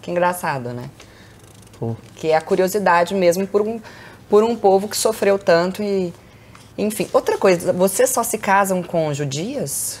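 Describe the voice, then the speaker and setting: A woman speaks at a fairly slow pace with lively intonation and long, frequent pauses. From Brazil, Belo Horizonte (Minas Gerais); Minas Gerais, Brazil. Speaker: podcast host, Portuguese teacher. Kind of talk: casual interview. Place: home room. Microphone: lapel.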